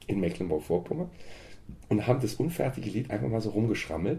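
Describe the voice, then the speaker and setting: A man's very fast delivery with a dark, mellow tone and vocal fry. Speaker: folk singer and songwriter. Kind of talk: interview.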